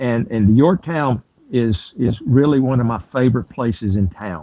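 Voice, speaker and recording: Speaking in a South Carolina accent, a man uses a medium pitch with ordinary pitch variation. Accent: South Carolina Southern US. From US South, South Carolina. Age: 70s. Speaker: tour guide. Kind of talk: interview. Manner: halting, with many fillers.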